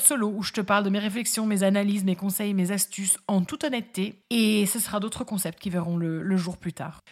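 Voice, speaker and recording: With hardly any pauses, a woman speaks at a fairly quick pace in a somewhat breathy, medium-pitched voice with ordinary pitch variation. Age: 30s. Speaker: podcast host, lawyer and fabric craft maker. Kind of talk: solo podcast monologue, casual and friendly. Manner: upbeat, warm.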